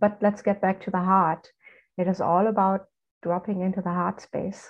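Speech comes at a fairly slow pace in a German accent, with a monotone, flat intonation. Long, frequent pauses break it up against a quiet background. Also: woman. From Germany. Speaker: spiritual coach. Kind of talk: casual chat.

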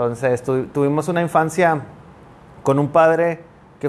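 A man speaks at a fairly slow pace. His pitch sits fairly high, and his intonation stays fairly even. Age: 30s. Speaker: pastor. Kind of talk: casual chat. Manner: halting, repeats words.

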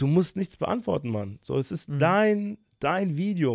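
With lively intonation, a man speaks in an unremarkable speaking voice on a very clean recording with a silent background. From Germany, Bonn (Rhineland). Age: 20s. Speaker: YouTuber. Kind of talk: casual interview.

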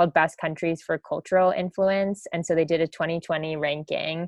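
This woman talks at a fairly quick clip in a fairly low pitch, with flat, monotone intonation. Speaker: podcast host. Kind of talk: casual chat.

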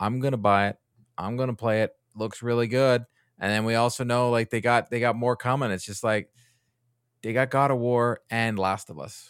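A man with an American accent and medium pitch talks at a moderate pace with fairly even intonation, in a dry, close sound with no echo on a very clean recording with a silent background. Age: 40s. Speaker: gaming content creator. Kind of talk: casual chat. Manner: halting, with frequent restarts.

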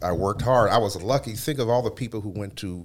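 A man speaks with a Midwestern American accent. His pitch is fairly low and his pace fairly quick. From Cleveland, Ohio. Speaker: radio host and former stand-up comedian. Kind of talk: interview.

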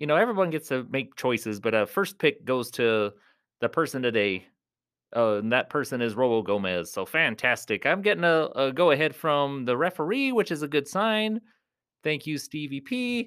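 In a very clean recording with a silent background, a man with a fairly high voice talks at a moderate pace in an animated tone, his pitch swinging very widely. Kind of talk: live ring announcing, playful mock-wrestling MC introductions. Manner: animated, showy, rhyming hype-man patter with laughs.

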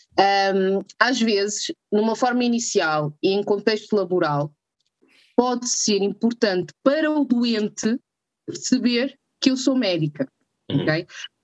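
Speaking at a fairly slow pace with long, frequent pauses, a woman has a fairly high pitch, and the sound is dry and close with no echo. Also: lively intonation. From northern Portugal. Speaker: doctor (anesthesiologist). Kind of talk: casual interview chat.

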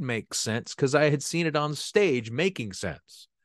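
A man's dry, close sound with no echo, over a quiet background. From US, San Francisco Bay Area. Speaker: actor and playwright. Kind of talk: casual interview chat. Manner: halting, many repeated words.

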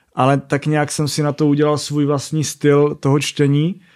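A man's fairly high-pitched voice at a fairly slow pace, a normal speaking voice, on a very clean recording with a silent background. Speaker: rally raid and motocross racer. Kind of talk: casual interview.

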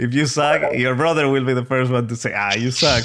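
A man speaks with a Spanish accent and fairly even intonation. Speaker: podcast host. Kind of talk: interview. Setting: video call. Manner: halting, hesitant.

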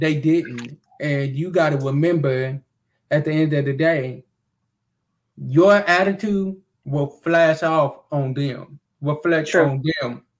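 A man talks at a very slow pace. His fairly high pitch shows ordinary variation. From Kentucky. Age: 30s. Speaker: live show host. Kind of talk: casual chat; reading aloud. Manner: animated.

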